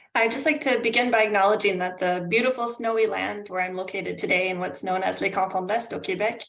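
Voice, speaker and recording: Here is a woman with a Canadian accent and a plain, everyday voice. She talks at a fairly quick pace with ordinary pitch variation. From Canada. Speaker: climate adaptation consultant. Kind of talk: webinar presentation.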